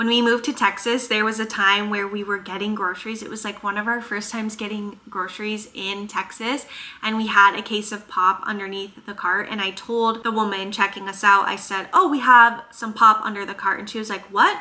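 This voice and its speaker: With a slight Minnesotan accent, a woman speaks at fairly high pitch in an animated tone, with hardly any pauses and big swings in loudness. Noticeable background noise runs underneath. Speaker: chiropractor and vlogger. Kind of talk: casual Q&A vlog.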